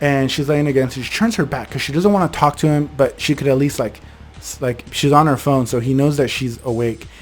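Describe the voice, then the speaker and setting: Music plays in the background as a man talks at a fairly quick pace. His voice sits fairly high in pitch. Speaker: storyteller channel host. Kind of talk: casual storytelling. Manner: fast; occasional stutter.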